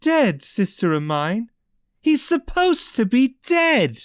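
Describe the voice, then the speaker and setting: Growling in a put-on character voice, the speaker goes at a fairly slow pace with fairly high pitch and very wide pitch swings on a very clean recording with a silent background. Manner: growling through clenched teeth, angry.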